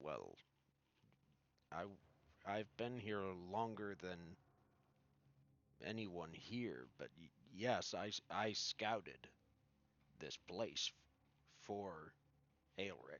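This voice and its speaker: In a raspy, put-on character voice, a man speaks very slowly at a fairly low pitch with long, frequent pauses. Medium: actual play. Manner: polite, somewhat hesitant.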